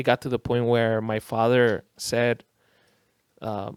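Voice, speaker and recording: A man with a Spanish accent speaks at medium pitch in a dry, close sound with no echo. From Costa Rica. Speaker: DJ. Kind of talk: casual chat.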